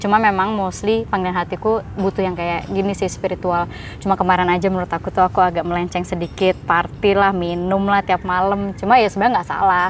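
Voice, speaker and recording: A woman speaks at a very fast pace with hardly any pauses, her medium-pitched voice monotone and flat. Noticeable background noise sits under her. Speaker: singer in a band. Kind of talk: casual chat.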